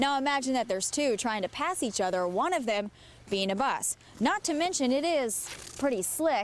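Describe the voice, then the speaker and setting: A woman with a high pitch and very wide pitch swings speaks at a moderate pace with very even loudness, over noticeable background noise. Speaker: TV news reporter. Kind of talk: TV news report.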